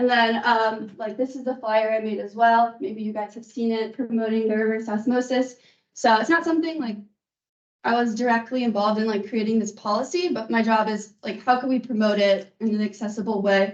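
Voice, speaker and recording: A woman's unremarkable speaking voice, fairly high in pitch, with fairly even intonation at a fairly quick pace. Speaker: source water protection extension educator. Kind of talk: meeting presentation.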